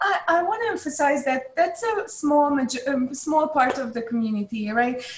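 A high-pitched woman's voice with a Hungarian accent, very wide pitch swings, a moderate pace and hardly any pauses. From Hungary. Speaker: chess club staff. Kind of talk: interview.

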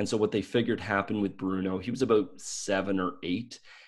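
Here is a man with a Maritime Canadian accent. The recording is very clean, with a silent background. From Canada, Nova Scotia. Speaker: dog trainer. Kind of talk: casual interview.

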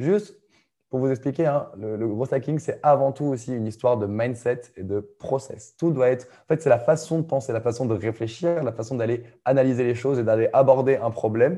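This man has a medium pitch and a dark, mellow tone. The background is quiet. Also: ordinary pitch variation, moderate pace. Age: 20s. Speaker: growth marketing coach. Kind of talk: casual interview.

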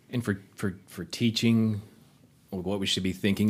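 A man with a normal speaking voice talks at a fairly low pitch, keeping his intonation fairly even. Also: very clean recording, silent background. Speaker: writing program coordinator. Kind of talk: panel discussion. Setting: studio.

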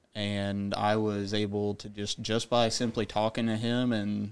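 An American accent comes from a man with a fairly low pitch and monotone, flat intonation. The recording is very clean, with a silent background. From rural Illinois. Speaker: national guard soldier, nursing student. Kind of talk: interview.

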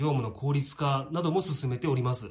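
A man's fairly high voice comes through with noticeable background noise. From Shizuoka, Japan. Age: 40s. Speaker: tax accountant. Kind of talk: monologue to camera. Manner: many fillers, hesitant.

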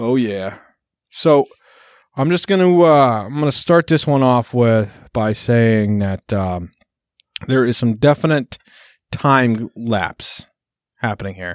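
Recorded very clean against a silent background, the sound is dry and close with no echo. A man with medium pitch and lively intonation speaks at a very slow pace, with long, frequent pauses. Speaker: podcast host. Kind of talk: casual banter, profanity-laden comedy chat. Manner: animated, joking, interrupts.

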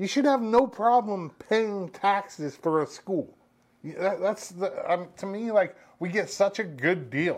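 With lively intonation and a high pitch, a man speaks at a fairly slow pace. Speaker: radio co-host. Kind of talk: casual chat.

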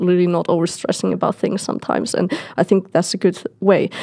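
A woman speaks in an unremarkable speaking voice. Her pitch sits in the medium range. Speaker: podcast co-host. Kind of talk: podcast interview.

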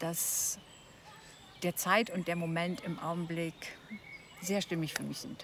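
Over noticeable background noise, a woman speaks at a fairly low pitch with fairly even intonation. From East Frisia, northern Germany. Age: 60s. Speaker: retired corporate manager. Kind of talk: casual conversation. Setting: outdoors.

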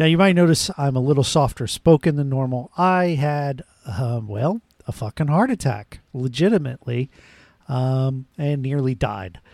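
A man with an ordinary speaking voice talks at a moderate pace and fairly high pitch with lively intonation, in dry, close sound with no echo. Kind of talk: casual banter podcast. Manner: joking, interrupting.

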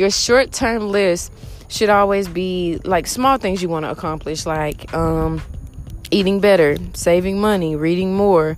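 Speech comes at a fairly slow pace with ordinary pitch variation, and audible room echo is present. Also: woman, medium pitch for a woman. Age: 20s. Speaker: podcast host. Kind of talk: casual monologue. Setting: outdoors in a park.

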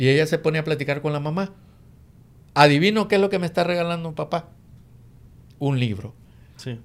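A man's fairly high-pitched voice at a fairly quick pace, with ordinary pitch variation, long, frequent pauses and a very clean recording with a silent background. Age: 50s. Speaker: real estate investor and co-host. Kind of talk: casual chat.

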